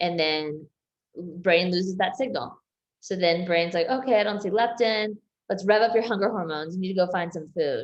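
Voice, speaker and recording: A woman speaks in a plain, everyday voice at a medium pitch. Her pace is moderate and her pitch variation ordinary. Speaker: health coach. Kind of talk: group coaching session on video call.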